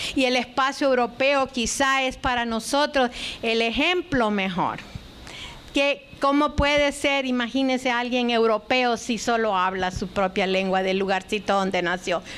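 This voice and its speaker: Her voice is high in pitch with ordinary pitch variation, and the speaker is a woman. She goes at a fairly slow pace with very even loudness. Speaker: lecturer, linguistics scholar. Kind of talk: lecture.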